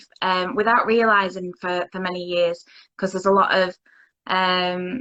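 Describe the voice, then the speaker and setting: A woman with a Lancashire accent at a fairly slow pace. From Lancashire, northern England. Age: 30s. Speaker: interviewee sharing mental health story. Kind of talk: interview. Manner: halting.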